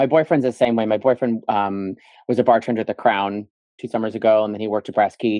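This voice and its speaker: A man at a medium pitch, very fast, with fairly even intonation. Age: 40s. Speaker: sober community founder. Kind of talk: casual podcast interview.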